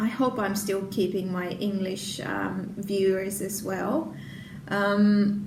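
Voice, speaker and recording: A woman with a Finnish accent and medium pitch talks at a very slow pace in monotone, flat intonation. Room echo is audible, and there is noticeable background noise. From Finland. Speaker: knitting and crochet podcaster. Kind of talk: casual podcast chat. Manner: hesitant, many fillers.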